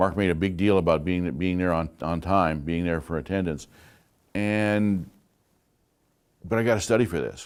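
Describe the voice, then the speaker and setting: A man's very deep, low voice at a moderate pace, with fairly even intonation and long, frequent pauses, on a very clean recording with a silent background. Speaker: college instructor. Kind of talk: lecture. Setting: classroom. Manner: loud.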